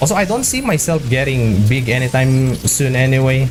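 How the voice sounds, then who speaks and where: The speaker has a non-native accent and talks at a fairly slow pace. Music plays in the background. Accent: foreign accent, noticeable. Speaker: gaming streamer. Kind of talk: casual chat. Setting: live stream while gaming. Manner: halting, repeats words.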